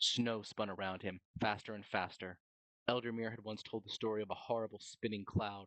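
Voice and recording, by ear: The intonation stays fairly even as the speaker reads aloud in a natural voice against a quiet background.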